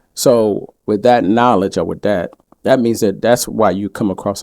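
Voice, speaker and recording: A man with a slight Southern US accent speaks at a moderate pace. His pitch is fairly low and his intonation fairly even. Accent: little Southern. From Georgia, US. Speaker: podcast co-host. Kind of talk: casual chat.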